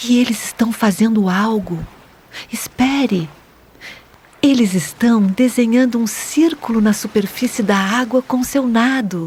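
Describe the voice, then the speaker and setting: Over noticeable background noise, a woman speaks fairly slowly at a fairly high pitch in a calm, gentle tone, with ordinary pitch variation, very even loudness and long, frequent pauses. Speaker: meditation guide for children. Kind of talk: children's guided meditation narration. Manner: soft-spoken, calm, gentle.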